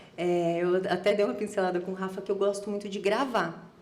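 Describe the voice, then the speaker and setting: A woman at medium pitch and a moderate pace, with noticeable background noise and audible room echo. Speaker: podcast guest. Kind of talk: casual chat.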